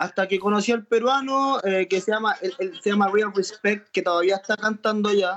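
A Chilean accent at a moderate pace, with hardly any pauses, fairly even intonation and very even loudness. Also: man, high pitch for a man. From Chile (Santiago). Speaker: trap musician. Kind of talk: interview.

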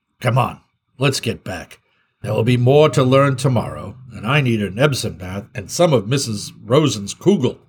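At a moderate pace, a man does a put-on character voice with a medium pitch. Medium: read story. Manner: urgent, then warm and joking.

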